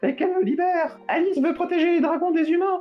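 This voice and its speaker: A woman talks at a fairly quick pace in a put-on character voice. Faint music plays in the background. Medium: read story. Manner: casual, inquisitive.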